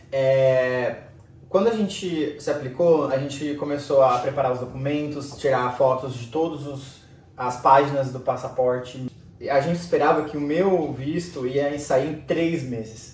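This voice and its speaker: Through noticeable background noise and audible room echo, a man speaks fairly slowly with fairly high pitch and fairly even intonation. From Brazil. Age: 30s. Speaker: immigrant interviewee. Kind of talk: interview.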